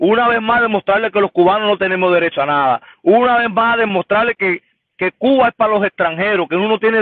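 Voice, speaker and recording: A high-pitched man talks at a very fast pace. The sound is dry with no echo, and the background is quiet. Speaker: caller. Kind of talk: caller opinion. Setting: phone call. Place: car. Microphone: video call.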